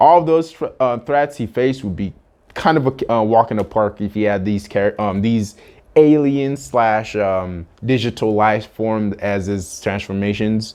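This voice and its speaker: A man's fairly low voice at a fairly slow pace, with ordinary pitch variation. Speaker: YouTube commentator. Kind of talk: casual video commentary. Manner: halting, many fillers.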